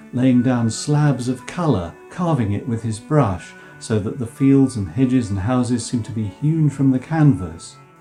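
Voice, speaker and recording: Music plays in the background as a man speaks at a moderate pace. His medium-pitched voice has lively intonation. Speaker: professor of English. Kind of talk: art history narration.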